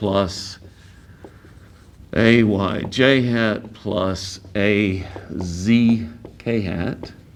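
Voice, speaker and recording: Medium pitch from a man, with fairly even intonation and audible room echo. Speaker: physics teacher. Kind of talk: lecture.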